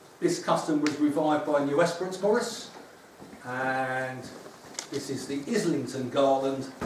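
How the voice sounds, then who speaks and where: This man has a fairly high pitch and talks at a fairly slow pace. Audible room echo and light background noise surround him. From London East End. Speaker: folk custom founder, former teacher. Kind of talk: lecture. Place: hall. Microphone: camera far.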